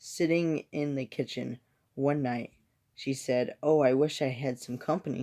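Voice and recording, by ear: A person reads aloud in a natural voice, intonation fairly even, over a quiet background.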